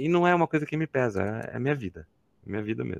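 Recorded with a dry, close sound and no echo, a man with a fairly high pitch speaks in very wide pitch swings. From Campinas, interior of São Paulo, Brazil. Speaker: chemistry professor. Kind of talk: casual interview.

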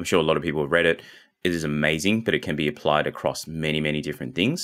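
A man with an Australian accent, very deep and low-pitched, at a very fast pace. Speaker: marketing agency founder. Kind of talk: interview.

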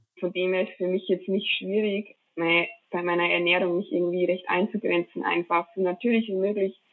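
A woman speaks in a monotone, flat intonation at a moderate pace, with hardly any pauses. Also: medium pitch for a woman. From Bavaria, Traunstein area. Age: 20s. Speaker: professional biathlete. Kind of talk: interview.

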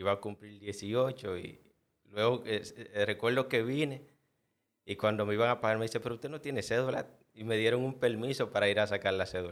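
In a very clean recording with a silent background, a man with a fairly low pitch talks at a moderate pace, his pitch varying in an ordinary way. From Dominican Republic, El Cercado. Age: 30s. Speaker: head chef. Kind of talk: interview.

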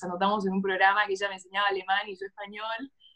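At a very fast pace, a woman speaks in a flat monotone at a medium pitch. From Argentina. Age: 20s. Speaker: economics graduate. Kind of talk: interview conversation.

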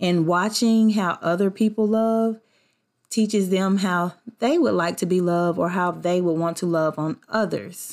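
Very clean, silent-background audio of a woman with a Southern US accent at medium pitch, fairly slow pace, very even loudness and ordinary pitch variation. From US South. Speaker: podcast host. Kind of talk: casual solo podcast talk. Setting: at home. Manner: animated, laughing often.

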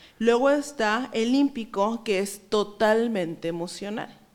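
With ordinary pitch variation, a woman speaks in a plain, everyday voice at a fairly high pitch. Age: 30s. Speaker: psychologist. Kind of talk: interview.

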